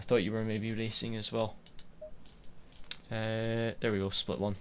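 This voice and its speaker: In a strong Scottish accent, a man talks at a moderate pace with a medium pitch and monotone, flat intonation. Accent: Scottish, quite strong. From west coast of Scotland. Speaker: sim racing streamer. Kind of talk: live gameplay commentary. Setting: live stream.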